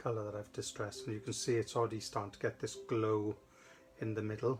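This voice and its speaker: With a Welsh accent, a man speaks in a fairly low, somewhat breathy voice with fairly even intonation. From South Wales. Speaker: craft demonstrator. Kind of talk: live craft tutorial. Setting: studio livestream. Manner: casual, chatty.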